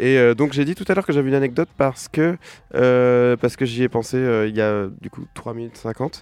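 A man at a medium pitch, talking at a fairly quick pace with ordinary pitch variation and big swings in loudness. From western France, near Nantes. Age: 30s. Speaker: musician. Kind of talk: radio interview. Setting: radio studio, live. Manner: halting, many fillers and repetitions.

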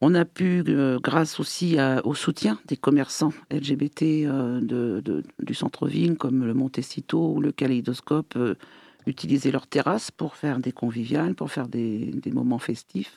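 A man speaks with a dark, mellow tone and ordinary pitch variation, recorded with a dry, close sound and no echo. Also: medium pitch for a man, fairly slow pace. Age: 60s. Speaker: LGBT association president. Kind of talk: radio interview.

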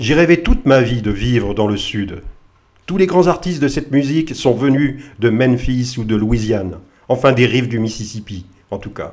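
With lively intonation, a man speaks at a moderate pace in an ordinary speaking voice of medium pitch. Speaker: radio host. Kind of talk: radio DJ patter introducing tracks between songs. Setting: radio studio broadcast.

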